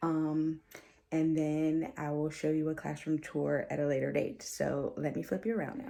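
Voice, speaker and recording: Her tone is dark and mellow, and the woman speaks quietly at a fairly low pitch. She keeps a moderate pace. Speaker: teacher and vlogger. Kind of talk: casual vlog tour. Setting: home office. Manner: quiet, low voice.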